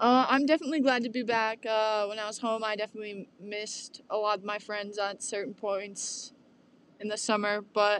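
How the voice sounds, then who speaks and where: Fairly high in pitch, a woman speaks in a plain, everyday voice at a moderate pace with fairly even intonation. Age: young. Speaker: college student podcast host. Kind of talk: casual chat.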